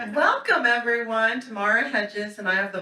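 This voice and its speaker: Loud and bright, with a sharp tone, a woman speaks at medium pitch. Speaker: board member and event emcee. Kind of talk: event welcome speech. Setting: stage with audience. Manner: animated.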